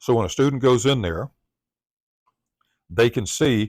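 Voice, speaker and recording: A man speaks at a medium pitch with a Southern US accent and ordinary pitch variation. The recording is very clean, with a silent background and a dry, close sound with no echo. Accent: Southern US accent, drawl. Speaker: tech tutorial presenter. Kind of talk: tutorial.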